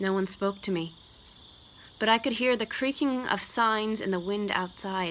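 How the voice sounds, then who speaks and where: A woman with a fairly high pitch speaks at a fairly slow pace with fairly even intonation. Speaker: actor and voice-over artist. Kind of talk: horror short story reading.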